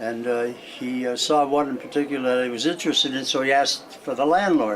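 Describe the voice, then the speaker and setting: The man's voice is fairly high in pitch. He moves at a fairly quick pace amid noticeable background noise. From Springfield, Massachusetts. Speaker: elderly interviewee, retired cartoonist. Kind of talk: oral history interview.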